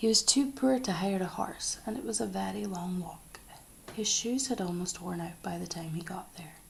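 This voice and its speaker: A soft-spoken voice with a Scottish accent carries the words. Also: moderate pace. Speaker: ASMR creator. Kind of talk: bedtime story reading.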